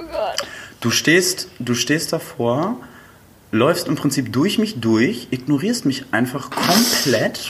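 Amid noticeable background noise, a man's fairly high-pitched voice makes very wide pitch swings. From northern Germany, Flensburg. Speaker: podcast guest, host's friend. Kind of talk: casual chat.

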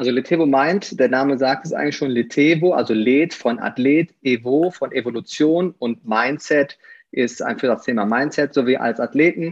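A man with a slight Rhineland accent talks at a moderate pace in a medium pitch, with ordinary pitch variation. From Aachen, Rhineland, Germany. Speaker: former pro athlete and fitness coach. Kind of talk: podcast interview.

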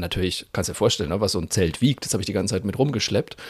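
A man with lively intonation. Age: 40s. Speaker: podcast co-host. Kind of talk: casual chat.

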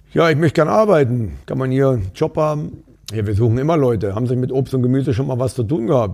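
Lively intonation and a dark, mellow tone mark this man's medium-pitched voice. He talks at a very fast pace. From Saxony, Upper Lusatia (East Germany). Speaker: bar owner. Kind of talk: casual chat. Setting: in a bar.

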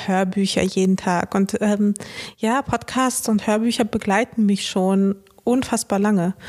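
At a fairly slow pace, a woman uses a normal speaking voice at medium pitch with fairly even intonation. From Ruhr area, Germany (Dortmund). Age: 30s. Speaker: influencer. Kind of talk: casual chat.

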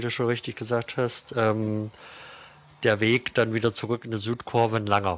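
Against noticeable background noise, a man speaks in a medium pitch with monotone, flat intonation. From Thuringia, Germany (Jena). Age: 30s. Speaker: football fan spokesperson. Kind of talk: casual interview. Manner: hesitant with many fillers.

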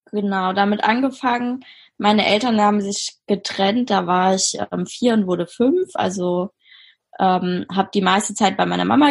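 At a moderate pace, a woman speaks with a medium pitch and a somewhat breathy sound. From Germany, Mainz. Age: 20s. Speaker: social work student. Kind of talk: interview testimony.

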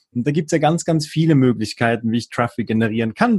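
Against a quiet background, a man speaks somewhat breathily with lively intonation in a dry, close sound with no echo. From Switzerland, near Bern. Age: 30s. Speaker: online marketer. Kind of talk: casual interview.

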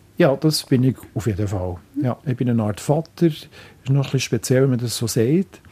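A somewhat breathy, dark and mellow tone with lively intonation at a moderate pace. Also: man, medium pitch for a man. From Switzerland, Biel. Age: 60s. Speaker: local politician. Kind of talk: interview. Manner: halting.

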